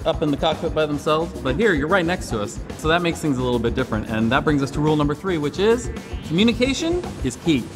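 A man is talking very fast. Clear music can be heard behind him. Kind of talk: interview answer. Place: hall.

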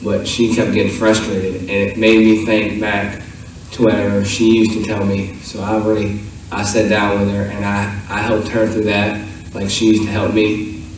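A man talks at a moderate pace in a fairly low pitch with monotone, flat intonation, and strong room echo surrounds him.

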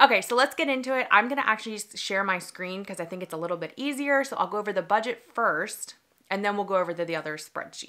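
Her tone is bright and sharp, and the woman talks at a very fast pace. Her loudness swings widely against a quiet background. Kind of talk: casual vlog chat. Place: home room.

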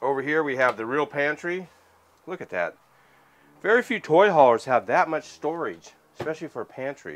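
A man at a fairly quick pace, with lively intonation and big swings in loudness. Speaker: RV salesman. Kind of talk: product walkthrough tour.

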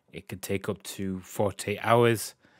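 In a British accent, a man speaks at a fairly low pitch with fairly even intonation. The sound is dry and close with no echo, on a very clean recording with a silent background. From UK. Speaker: gaming YouTuber. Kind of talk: tutorial. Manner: casual, slightly halting.

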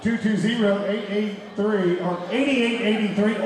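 Over noticeable background noise and audible room echo, a man speaks in a high pitch with fairly even intonation. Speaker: ring announcer. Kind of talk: event announcing. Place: hall. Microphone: pa.

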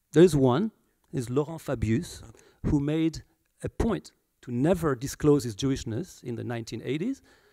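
A man with a fairly high pitch and a dark, mellow tone speaks at a fairly slow pace with long, frequent pauses. His intonation is lively, his loudness swings widely, and the background is quiet. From France. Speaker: historian; guest. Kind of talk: public talk. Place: hall. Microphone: handheld.

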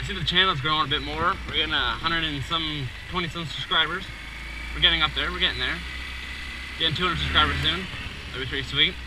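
A man at a very fast pace over noticeable background noise. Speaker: motovlogger. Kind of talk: casual vlog chat. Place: motorbike. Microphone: helmet.

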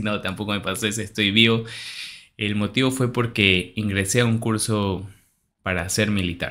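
A man speaks at a fairly low pitch. His intonation is monotone and flat, his pace moderate. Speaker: youtuber. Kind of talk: casual vlog chat. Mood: cheerful, reassuring. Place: home room. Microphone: studio mic.

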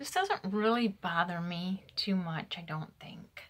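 With ordinary pitch variation, a woman's voice comes across somewhat breathy. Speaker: denture wearer demonstrating product. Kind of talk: casual vlog chat. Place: home room. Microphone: phone near.

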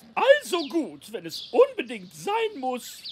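A cartoonish character voice swings very widely in pitch. The pace is slow.

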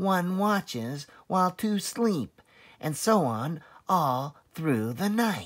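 A man's put-on character voice, fairly high in pitch and slow in pace, with big pitch swings.

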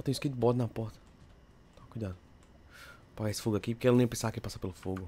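Talking very fast with long, frequent pauses, a man with a dark, mellow, somewhat breathy tone swings widely in loudness. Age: young. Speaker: gaming youtuber. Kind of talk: gameplay commentary. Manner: animated. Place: home room.

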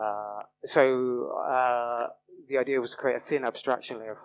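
A man talks at a moderate pace with fairly low pitch, little pitch movement and vocal fry.

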